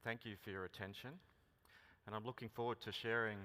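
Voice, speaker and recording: A man with an Australian accent, fairly low in pitch, with a bright, sharp tone and monotone, flat intonation. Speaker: mining company executive. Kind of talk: conference keynote speech.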